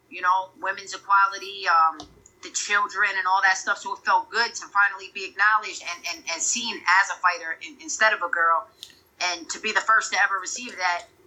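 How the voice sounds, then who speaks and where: Against noticeable background noise, a woman with an American accent and medium pitch talks fairly quickly, her loudness swinging widely while her pitch varies normally. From Connecticut, US. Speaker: professional boxer. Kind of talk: casual interview.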